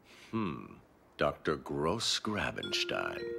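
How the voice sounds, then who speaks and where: A man speaks in a cartoonish character voice. Music plays in the background. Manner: cold, clipped.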